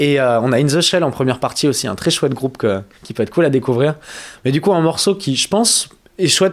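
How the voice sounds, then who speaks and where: A man with a plain, everyday voice speaks at a fairly quick pace. His fairly high pitch carries lively intonation. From southwest France, Pyrénées-Atlantiques. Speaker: musician. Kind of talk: interview.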